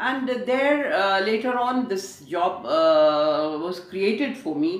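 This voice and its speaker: A woman's fairly high voice with very wide pitch swings, against noticeable background noise. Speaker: radio broadcaster. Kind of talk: interview answer. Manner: jovial, lively.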